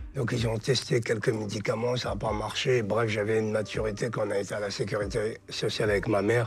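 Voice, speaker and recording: With music in the background, a man talks fairly quickly at a medium pitch in a monotone, flat intonation. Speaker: author and interviewee with a genetic condition. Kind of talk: interview, personal testimony. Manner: casual, colloquial.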